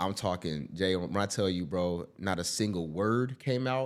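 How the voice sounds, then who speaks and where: His pitch is very deep and low. The man talks with an American accent. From California, Bakersfield. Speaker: actor. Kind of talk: podcast conversation. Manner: halting.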